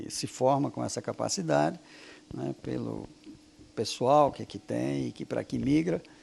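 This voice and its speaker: A man speaks at a fairly slow pace. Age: 60s. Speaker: physics professor and researcher. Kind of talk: interview. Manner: hesitant, many fillers.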